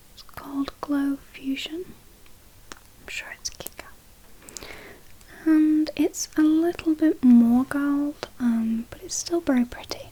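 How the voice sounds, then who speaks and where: Over noticeable background noise, a gentle-toned voice speaks at a very slow pace. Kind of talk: ASMR role-play of a friend doing the listener's makeup. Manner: friendly, gentle, caring.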